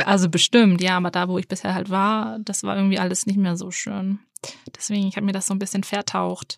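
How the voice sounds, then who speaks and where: A woman with a plain, everyday voice and medium pitch speaks at a fairly quick pace with fairly even intonation, on a very clean recording with a silent background and a dry, close sound with no echo. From Hamburg area, Germany. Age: 20s. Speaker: student. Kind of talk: casual chat; voice message self-introduction.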